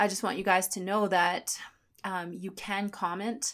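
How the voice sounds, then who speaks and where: A woman's unremarkable speaking voice at medium pitch, fairly even in intonation and fairly slow, on a very clean recording with a silent background. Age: 30s. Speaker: podcast host and personal trainer. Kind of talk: personal monologue.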